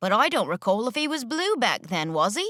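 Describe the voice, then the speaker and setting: A woman uses a put-on character voice with a high pitch and very wide pitch swings. She goes at a fairly quick pace on a very clean recording with a silent background. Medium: read story.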